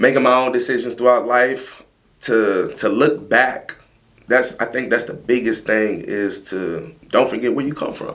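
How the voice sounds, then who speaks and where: Audible room echo surrounds a man speaking at a moderate pace. His pitch varies in an ordinary way. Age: 30s. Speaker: mold remediation business owner. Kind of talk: casual interview chat.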